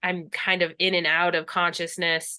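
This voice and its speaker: At a moderate pace, a woman speaks in a fairly low pitch with an ordinary speaking voice. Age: 30s. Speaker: death doula. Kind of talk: casual chat. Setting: video call.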